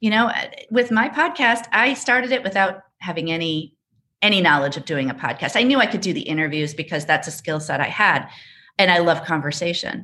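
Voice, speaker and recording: Against a quiet background, a woman with a fairly low pitch and a bright, sharp tone speaks at a fairly quick pace, her pitch swinging very widely. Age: 50s. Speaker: podcaster and speaker. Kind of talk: casual chat.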